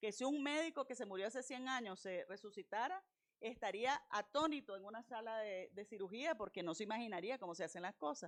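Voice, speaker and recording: Her pitch is fairly high for a woman. She speaks at a fairly quick pace with lively intonation. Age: 60s. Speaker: university lecturer / invited speaker. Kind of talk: lecture. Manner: animated.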